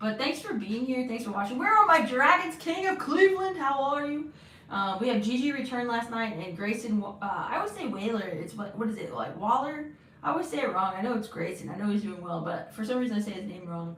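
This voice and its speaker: Talking at a very fast pace with very wide pitch swings, the voice carries audible room echo and noticeable background noise. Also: woman, fairly high pitch for a woman. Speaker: wrestling livestream host. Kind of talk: live watch-along chat. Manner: loud when wearing headphones; halting, many restarts.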